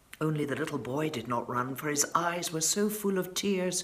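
Room echo is audible as the speaker talks at a moderate pace with lively intonation. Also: woman.

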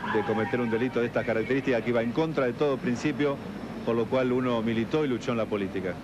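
A man at a very fast pace with ordinary pitch variation and noticeable background noise. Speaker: interviewee. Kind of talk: interview answer. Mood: defensive, contrite. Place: hall. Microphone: handheld.

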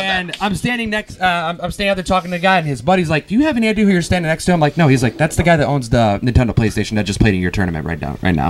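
Hardly pausing, a man talks at a very fast pace with a fairly high pitch and very wide pitch swings. Light background noise is present. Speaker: podcast host. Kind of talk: casual storytelling to live audience. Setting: live recording at a gaming convention. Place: hall. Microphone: handheld.

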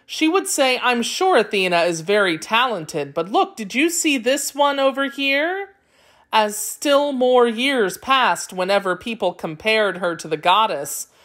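Over a silent background on a very clean recording, a woman speaks at a fairly slow pace with very wide pitch swings. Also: fairly high pitch for a woman. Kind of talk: children's myth audiobook narration. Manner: clear, measured storyteller pacing with glossed vocabulary.

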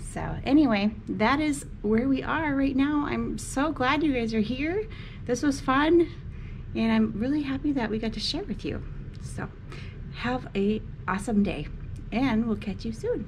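A high-pitched woman with lively intonation at a fairly slow pace over light background noise. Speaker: travel vlogger. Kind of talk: casual vlog chat. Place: home room. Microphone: phone near.

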